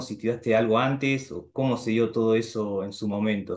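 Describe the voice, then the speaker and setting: A man's intonation stays fairly even as he speaks at a moderate pace. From Argentina. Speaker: YouTuber. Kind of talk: casual chat. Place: home room. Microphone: video call.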